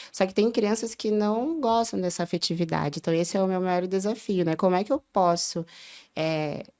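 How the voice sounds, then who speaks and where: At a moderate pace, a woman speaks at a medium pitch with a dark, mellow tone and ordinary pitch variation, on a very clean recording with a silent background. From southern Brazil, Porto Alegre. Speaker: early childhood educator. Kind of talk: podcast interview.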